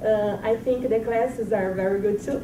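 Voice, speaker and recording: Amid audible room echo and noticeable background noise, a woman with a Brazilian Portuguese accent talks at a fairly high pitch with ordinary pitch variation. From Brazil, Mato Grosso (center). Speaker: exchange student. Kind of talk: self-introduction.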